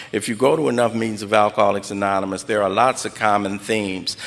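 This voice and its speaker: Noticeable background noise sits behind this recording. A man with an American accent speaks at a fairly low pitch with fairly even intonation. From Los Angeles (South Central, Watts). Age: 60s. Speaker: recovery speaker. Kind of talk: personal testimony at an AA meeting.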